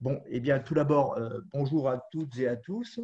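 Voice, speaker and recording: Over a quiet background, a man speaks in a dark, mellow tone that is somewhat breathy. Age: 70s. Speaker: caregiver and volunteer tutor. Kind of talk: webinar talk. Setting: audio-only video conference.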